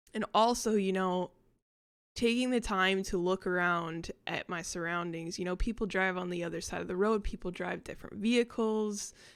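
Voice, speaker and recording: Over a very clean recording with a silent background, a woman with an American accent speaks at a moderate pace and medium pitch with fairly even intonation. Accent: American, noticeable to locals. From United States. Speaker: vlogger. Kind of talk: casual vlog ramble. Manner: hesitant, many fillers.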